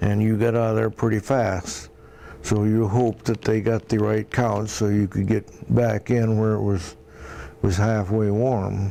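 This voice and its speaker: Speaking with a Midwestern US accent, a man talks at a fairly slow pace in a monotone, flat intonation. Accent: US Midwest. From Iowa. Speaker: war veteran. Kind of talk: oral history interview. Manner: halting.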